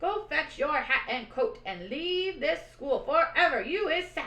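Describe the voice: A woman performs a put-on character voice at a high pitch with a bright, sharp tone. She goes at a fairly slow pace with lively intonation, and audible room echo is present.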